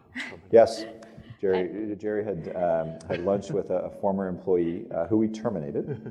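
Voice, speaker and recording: A man with an ordinary speaking voice talks at a fairly low pitch and a moderate pace, with ordinary pitch variation. His loudness swings widely. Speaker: company leader and podcast host. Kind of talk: corporate talk, panel discussion. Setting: stage with audience.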